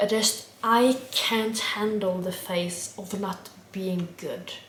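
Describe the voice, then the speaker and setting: A woman with a Norwegian accent speaks in a monotone, flat intonation with hardly any pauses. Noticeable background noise runs underneath. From Norway. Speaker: vlogger. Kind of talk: casual chat. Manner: halting.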